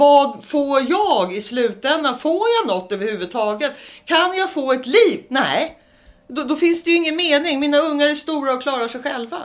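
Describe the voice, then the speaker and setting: Music can be heard in the background. The speaking pace is moderate. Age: 50s. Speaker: abuse survivor. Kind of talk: testimony.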